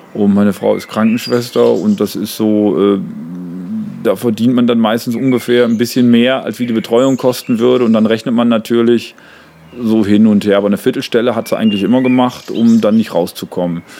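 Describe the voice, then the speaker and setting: At a fairly quick pace, a man talks in a normal speaking voice at medium pitch with fairly even intonation. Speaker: comedian and songwriter. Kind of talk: casual chat. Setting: outdoors on a terrace.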